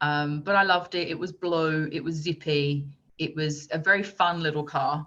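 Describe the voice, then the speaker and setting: Moving at a moderate pace, a woman with an English accent speaks at a very deep, low pitch. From England, Essex. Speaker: motorsport media presenter. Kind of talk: podcast interview. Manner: animated.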